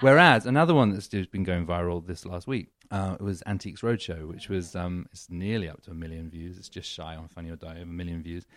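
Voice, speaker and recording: A man with an English accent and a very deep, low voice talks very fast with hardly any pauses. The recording is very clean, with a silent background. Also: ordinary pitch variation. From England. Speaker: comedian. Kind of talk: casual chat.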